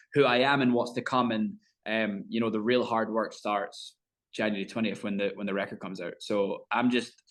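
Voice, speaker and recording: With a Scottish accent, a man talks at a fairly quick pace with fairly even intonation. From Scotland. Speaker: country singer. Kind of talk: interview.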